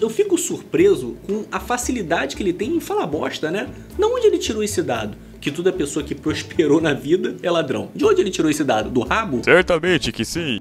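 Noticeable background noise runs under the voice. The pace is fairly quick. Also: man. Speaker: YouTuber reacting to videos. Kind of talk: reaction commentary. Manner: animated.

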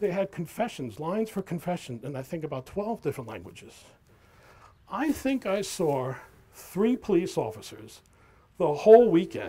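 A man with a New York accent speaks at a high pitch with very wide pitch swings. He leaves long, frequent pauses. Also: moderate pace, big swings in loudness. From New York City, Queens. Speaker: accountant and guest speaker. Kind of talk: talk to an audience. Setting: outdoor event with audience, microphone. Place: waterside. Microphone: handheld.

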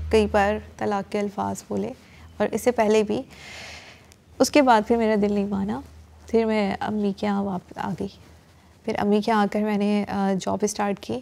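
A woman speaks slowly, at a fairly slow pace, in a dark, mellow tone with fairly even intonation and long, frequent pauses. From Pakistan. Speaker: acid attack survivor. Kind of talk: testimony; interview answer. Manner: halting. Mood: sombre, reflective. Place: studio.

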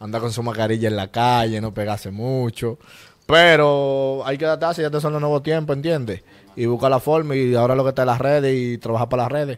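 A man with a medium pitch and ordinary pitch variation talks at a very fast pace. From Dominican Republic, Santo Domingo east. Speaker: rapper; interviewee. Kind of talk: casual interview. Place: studio. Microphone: handheld.

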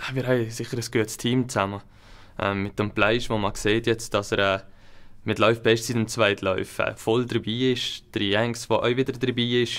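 Against a quiet background, a man speaks at a moderate pace and a medium pitch. His intonation is monotone and flat. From Switzerland, Upper Valais; Switzerland. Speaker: alpine ski racer; guest. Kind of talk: interview. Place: studio.

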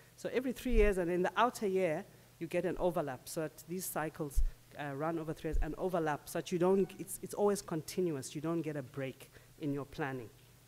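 The speech moves at a very fast pace with lively intonation. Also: woman. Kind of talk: conference presentation. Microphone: podium.

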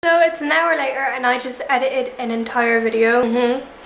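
Fairly even intonation from a high-pitched woman at a fairly quick pace, with audible room echo and light background noise. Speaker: vlogger. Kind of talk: casual vlog chat. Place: home room. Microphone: phone near.

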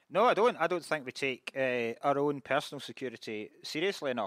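A man with a Scottish accent speaks at a fairly quick pace with ordinary pitch variation and a bright, sharp tone. The sound is dry with no echo, and the background is quiet. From Scotland. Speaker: comedian panelist. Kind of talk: comedy panel banter. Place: stage. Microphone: studio mic.

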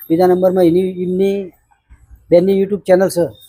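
A man speaks in a high voice with a dark, mellow tone. His intonation stays flat and monotone. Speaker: vlogger. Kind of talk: charity appeal vlog.

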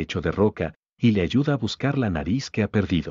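A man's very deep, low voice at a fairly quick pace, with lively intonation. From Guatemala, Jutiapa. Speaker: animator and vlogger, architect. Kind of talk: scripted narration.

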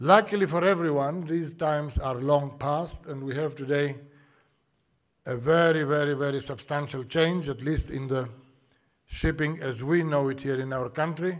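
Over a quiet background, a man with a fairly high pitch talks at a moderate pace with fairly even intonation. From Greece. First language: Greek. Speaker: shipping executive. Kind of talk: welcome address. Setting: conference hall with audience. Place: hall. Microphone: podium.

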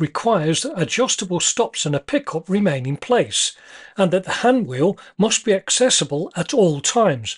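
A man speaks at a moderate pace, the background around him quiet. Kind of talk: tutorial narration. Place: workshop.

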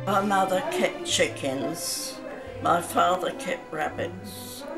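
A woman with clear music in the background. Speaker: elderly woman recalling memories. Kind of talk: interview answer. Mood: calm, reflective reminiscing. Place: home room. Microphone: phone near.

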